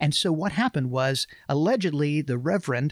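With an Alabama accent, a man speaks at a moderate pace and a fairly high pitch with lively intonation, the sound dry and close with no echo on a very clean recording with a silent background. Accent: US Southern (Alabama). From Alabama, Montgomery. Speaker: pastor and podcast co-host. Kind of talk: casual book discussion.

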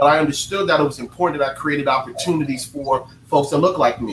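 Someone speaks with an American accent at a fairly quick pace and fairly even intonation. Noticeable background noise can be heard. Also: man. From North Carolina. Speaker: politician and veteran. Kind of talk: panel discussion.

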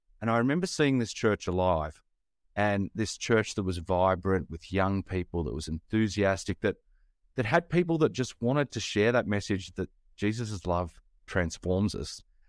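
Lively intonation and an Australian accent come through in a dry, close sound with no echo on a very clean recording with a silent background. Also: man, fairly low pitch for a man, moderate pace. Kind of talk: casual interview conversation.

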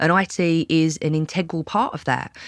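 A woman is talking. She speaks with a British accent. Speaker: podcast host. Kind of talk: casual interview chat.

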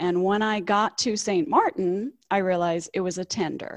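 The sound is dry and close with no echo. A woman of medium pitch talks at a moderate pace with ordinary pitch variation. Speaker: cruise travel agent and former ship crew member. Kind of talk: casual interview, telling stories. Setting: video call.

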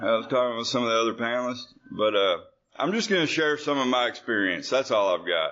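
A man's fairly quick delivery with lively intonation. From Arkansas, US South. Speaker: AA speaker. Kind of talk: AA panel share. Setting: conference stage with audience. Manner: nervous, then casual.

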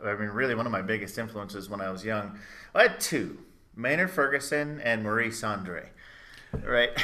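A man with an American accent speaks in a bright, sharp tone with ordinary pitch variation. Audible room echo is present. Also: medium pitch for a man, moderate pace. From Chicago area, US. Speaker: trumpeter and music teacher. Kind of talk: casual interview chat. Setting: video call.

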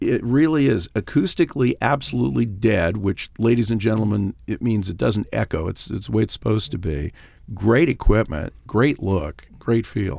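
A man with an American accent speaks at a fairly low pitch with vocal fry and lively intonation. He keeps a moderate pace with hardly any pauses on a very clean recording with a silent background. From Los Angeles. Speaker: radio host and attorney. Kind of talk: casual chat. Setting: studio.

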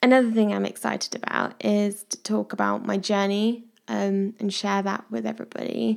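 In an English Midlands accent, a woman speaks at a moderate pace. She leaves hardly any pauses. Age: 20s. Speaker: medical student and podcast host. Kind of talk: interview, casual chat. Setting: at home with her dog.

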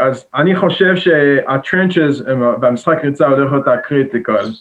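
A man speaks at a moderate pace with fairly even intonation. His pitch is fairly high, and it is a plain, everyday voice. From Israel, Jerusalem. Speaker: college football player. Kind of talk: casual interview.

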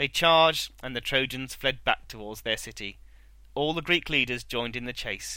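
Reading in an unforced reading voice

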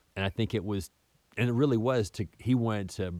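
A man with an ordinary speaking voice talks at a fairly quick pace with fairly even intonation. The recording is very clean, with a silent background. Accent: American. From US South. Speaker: podcast host. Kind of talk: casual monologue.

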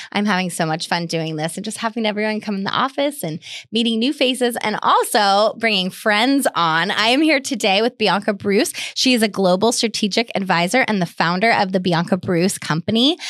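A woman with an American accent and a plain, everyday voice speaks at a fairly quick pace with lively intonation and a medium pitch. The recording is very clean, with a silent background. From Sonoma County, California. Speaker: podcast host and realtor. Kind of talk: casual interview chat.

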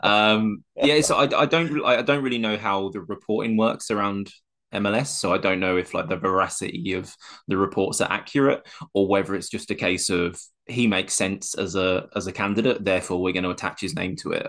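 A man with an unremarkable speaking voice talks at a fairly quick pace in a fairly low pitch with ordinary pitch variation against a quiet background. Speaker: co-host, football fan. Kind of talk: casual chat about football.

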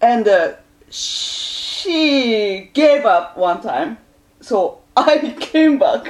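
A woman with a Japanese accent speaks at a very slow pace. Her voice is high-pitched, with very wide pitch swings. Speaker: musician. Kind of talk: casual chat.

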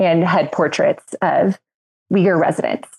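In an American accent, a woman speaks fairly slowly with fairly even intonation and a dark, mellow tone, the sound dry and close with no echo. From Texas (Midland). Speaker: human rights advocacy director. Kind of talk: podcast panel discussion.

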